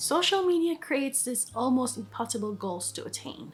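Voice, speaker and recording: Here a woman is speaking. She talks with a Filipino accent. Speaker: vlogger. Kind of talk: scripted vlog monologue. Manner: casual, conversational.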